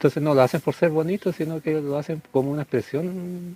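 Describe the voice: A man speaks at a fairly quick pace, his fairly high voice carrying a dark, mellow tone.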